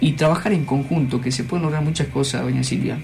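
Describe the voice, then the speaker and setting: Noticeable background noise sits behind a man talking at a very fast pace, his pitch fairly high with ordinary variation. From Argentina, Trancas, Tucumán. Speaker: sports club leader. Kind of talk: radio interview. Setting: radio studio.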